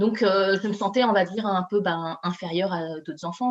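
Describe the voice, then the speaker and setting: Fairly quick speech from a woman, pitch shifting in an ordinary way. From Paris, France (Chinese heritage). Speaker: author and coach. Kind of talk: interview. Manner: halting.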